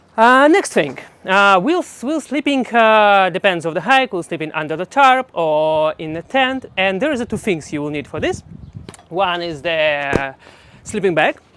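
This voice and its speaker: The speech carries a non-native accent. It moves at a moderate pace. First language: not English. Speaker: hiking guide vlogger. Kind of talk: tutorial. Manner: halting, many fillers and restarts.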